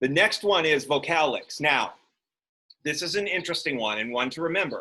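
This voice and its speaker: The speaker is loud, keeping a moderate pace with lively intonation. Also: man. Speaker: college instructor. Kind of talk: lecture.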